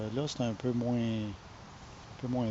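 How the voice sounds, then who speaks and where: In a Quebec accent, a man speaks at a medium pitch. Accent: Québécois French. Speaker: online marketer. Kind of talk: casual vlog talk. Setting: home. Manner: halting, with many fillers.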